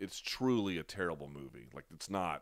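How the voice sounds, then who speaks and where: A man with an unremarkable speaking voice, a fairly low pitch and lively intonation. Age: 30s. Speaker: MMA analyst and YouTube host. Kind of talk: live-stream post-fight analysis and Q&A. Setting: home live stream on camera.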